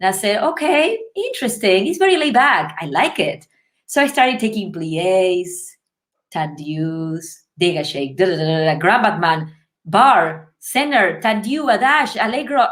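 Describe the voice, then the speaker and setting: A woman with a Spanish accent at a medium pitch and a moderate pace, with very wide pitch swings, in a very clean recording with a silent background. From Uruguay, Montevideo. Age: 30s. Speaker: ballet dancer. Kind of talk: interview storytelling. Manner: animated.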